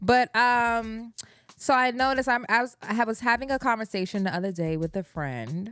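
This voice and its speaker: A woman's fairly high voice, an ordinary speaking voice, with ordinary pitch variation at a moderate pace. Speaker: podcast co-host. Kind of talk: casual chat.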